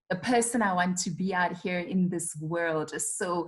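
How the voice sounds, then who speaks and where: A somewhat breathy woman with a South African accent, medium in pitch, at a moderate pace. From South Africa, Rustenburg (North West). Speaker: public speaker and communications trainer. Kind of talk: interview.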